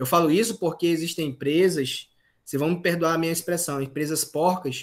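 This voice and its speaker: A man's voice, high in pitch. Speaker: university lecturer. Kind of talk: online lecture.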